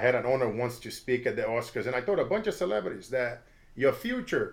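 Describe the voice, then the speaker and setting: An energetic man with a fairly high pitch speaks at a moderate pace with lively intonation. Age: 40s. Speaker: motivational speaker. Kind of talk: interview.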